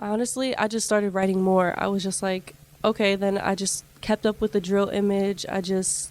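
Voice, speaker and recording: In an American accent, a woman talks at a moderate pace and a medium pitch, her intonation monotone and flat. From Boston, Massachusetts. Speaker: rapper. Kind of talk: interview.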